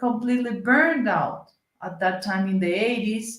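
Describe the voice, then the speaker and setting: A woman's fairly high voice with a Colombian accent, at a fairly slow pace with ordinary pitch variation. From Colombia, Cali. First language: Spanish. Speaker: senator. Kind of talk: interview conversation. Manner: halting, searching for English words.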